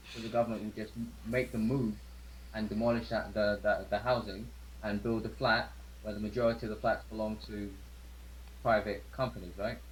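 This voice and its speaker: Fairly low, fairly quick male speech with vocal fry and very wide pitch swings. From London (Harlesden, Wembley). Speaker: hospital worker. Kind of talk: casual chat. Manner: halting, repeats words.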